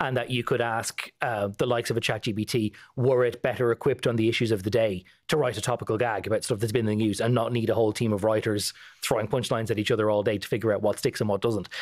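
A man talks at a very fast pace with an Irish accent. His intonation is flat and monotone, and the background is quiet. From Ireland. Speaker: political correspondent. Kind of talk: casual news chat. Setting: studio. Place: studio. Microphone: studio mic.

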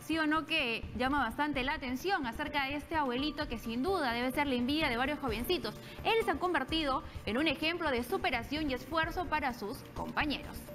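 The speaker talks at a fairly quick pace. Clear music sounds in the background. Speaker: news presenter. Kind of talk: TV news presentation. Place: studio. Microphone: lapel.

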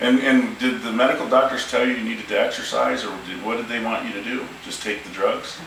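Amid light background noise and audible room echo, a man speaks at a fairly quick pace. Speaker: chiropractor. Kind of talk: interview questions to patient. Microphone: camera far.

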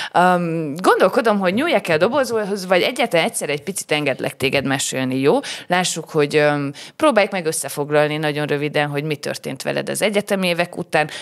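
The speech runs at a very fast pace with lively intonation. The background is quiet. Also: woman, fairly low pitch for a woman. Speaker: podcast host. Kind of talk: casual interview. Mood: friendly, playful. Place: studio. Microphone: studio mic.

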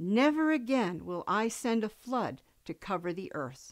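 A woman speaks fairly slowly in a gentle, warm tone at a fairly high pitch with very wide pitch swings. The background is quiet. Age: old. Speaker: grandparent reading Bible stories. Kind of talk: bedtime Bible story read aloud to grandchildren. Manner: gentle, slow storybook pacing for children; warm, affectionate sign-off to little listeners. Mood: gentle, warm storytelling. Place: home room.

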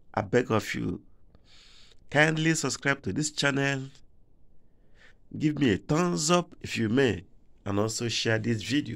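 At a fairly slow pace and with long, frequent pauses, a man speaks against a quiet background. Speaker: driver vlogger. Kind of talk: casual vlog commentary. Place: car. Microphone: phone near.

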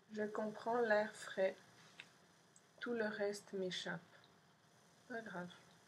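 Over light background noise, a woman with a fairly high voice speaks very slowly in a monotone, flat way, with long, frequent pauses. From Montreal, Quebec. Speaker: poet and artist reading own zine. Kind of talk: poem reading, multilingual French, English and Spanish. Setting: pre-recorded video for an event. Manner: slow, dreamy, contemplative; measured pauses, deadpan lists. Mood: calm, soft, intimate. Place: home room. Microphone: webcam.

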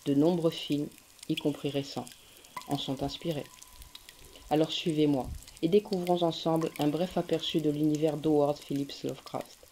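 The speech moves at a fairly slow pace with long, frequent pauses. Background noise is noticeable. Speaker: radio programme presenter. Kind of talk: scripted radio introduction.

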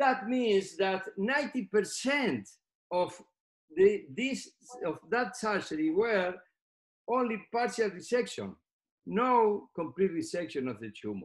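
Against a quiet background, a man with a Spanish accent speaks very slowly in a high voice, with lively intonation and long, frequent pauses. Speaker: neurosurgeon; presenter. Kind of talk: lecture. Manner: halting. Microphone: webcam.

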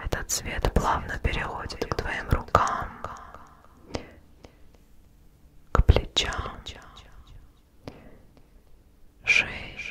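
Whispering, a soft-spoken woman leaves long, frequent pauses. Light background noise sits behind her. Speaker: ASMR creator. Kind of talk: guided relaxation, soft-spoken ASMR. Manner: soft, slow hypnotic near-whisper. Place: home room. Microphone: studio mic.

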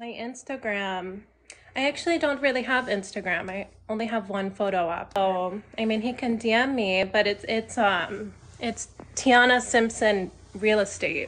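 Over light background noise, a woman with a Southern Californian accent speaks fairly slowly at a fairly high pitch with ordinary pitch variation. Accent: Valley girl American. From US Southwest (Arizona). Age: 20s. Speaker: dating show participant, real estate agent. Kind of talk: casual chat. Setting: video call on a livestream. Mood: relaxed, friendly. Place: home room. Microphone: phone near.

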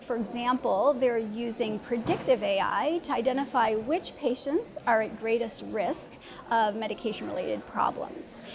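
A woman talks at moderate speed, her pitch varying in an ordinary way, with noticeable noise behind her. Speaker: guest. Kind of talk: interview answer. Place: hall. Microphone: lapel.

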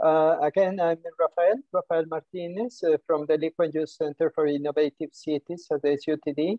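Spoken at a moderate pace against a quiet background. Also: dry sound with no echo. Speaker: webinar moderator. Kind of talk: formal introduction of panel. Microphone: video call.

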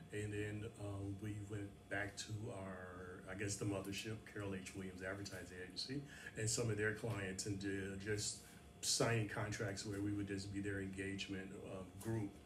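The speech moves at a moderate pace in a monotone, flat intonation over noticeable background noise. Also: man, fairly low pitch for a man. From Chicago, South Side (Chatham); Chicago. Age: 60s. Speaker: marketing agency co-founder; guest. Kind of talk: interview. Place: studio. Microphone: studio mic.

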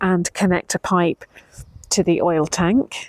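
A woman speaks in a medium pitch with a British accent. Her intonation stays monotone and flat, and the sound is dry and close with no echo. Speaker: DIY renovation vlogger. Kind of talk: casual vlog walkthrough.

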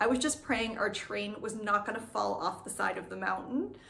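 Ordinary pitch variation shapes a woman's moderately paced speech. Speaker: travel vlogger. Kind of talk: casual vlog chat. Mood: cheerful, animated. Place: home room. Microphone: phone near.

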